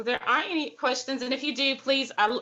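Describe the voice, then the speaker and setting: A woman speaks with an Alabama accent. Her tone is bright and sharp. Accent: Southern US (Alabama). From Alabama, US South. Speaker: poet and writing workshop leader. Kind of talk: online writing workshop. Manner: animated.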